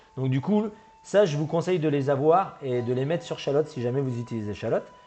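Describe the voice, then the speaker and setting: A man with a fairly high pitch and ordinary pitch variation talks fairly quickly while music plays in the background. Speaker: gaming YouTuber. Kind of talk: tutorial. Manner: fast; halting.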